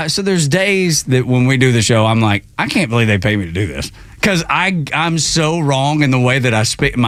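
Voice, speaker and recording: Speaking with a Southern US accent and lively intonation, the voice runs on with hardly any pauses over noticeable background noise. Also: man, medium pitch for a man. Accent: hillbilly drawl. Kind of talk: radio show host.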